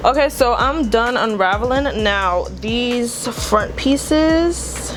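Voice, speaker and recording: Over music in the background, a woman with a high voice speaks very slowly with ordinary pitch variation. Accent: New York. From Brooklyn, New York. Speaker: beauty vlogger. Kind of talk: casual tutorial talk to camera.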